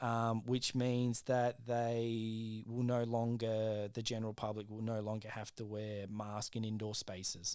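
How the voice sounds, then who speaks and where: Recorded very cleanly with a silent background, the speech comes in an Australian accent at a fairly slow pace, monotone and flat, with hardly any pauses. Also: man, medium pitch for a man. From South Australia. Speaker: podcast co-host. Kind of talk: casual chat.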